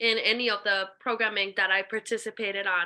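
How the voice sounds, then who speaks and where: A woman with an American accent speaks in a fairly high pitch with a bright, sharp tone. Her intonation is monotone and flat, and the recording is very clean with a silent background. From Ecuador, then Connecticut from about age eight. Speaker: nonprofit founder and violinist. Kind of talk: interview. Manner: hesitant with fillers.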